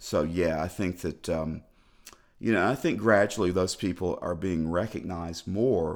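His pitch is very deep and low for a man. He speaks at a moderate pace with ordinary pitch variation. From Tennessee, Clarksville. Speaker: music journalist. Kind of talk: casual interview. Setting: studio.

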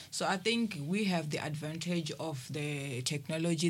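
Her pitch is very deep and low for a woman. The woman's voice is somewhat breathy. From South Africa, Limpopo. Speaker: ministry administrator. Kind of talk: radio panel discussion. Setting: studio.

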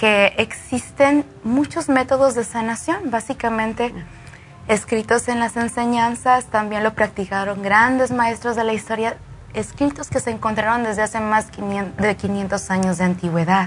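A woman speaks fairly slowly at a fairly high pitch, somewhat breathy, with ordinary pitch variation. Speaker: Reiki practitioner. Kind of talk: explanatory interview. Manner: eloquent.

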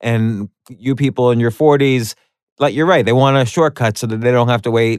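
A man with an unremarkable speaking voice at medium pitch and a moderate pace, in a dry, close sound with no echo over a quiet background. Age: 40s. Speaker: podcast host. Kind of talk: casual chat.

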